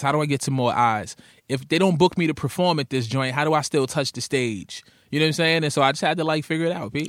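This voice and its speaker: Talking at a very fast pace, a man with a New York accent comes through on a very clean recording with a silent background. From Brooklyn, New York (Coney Island). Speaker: rapper and radio host. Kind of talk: casual interview chat.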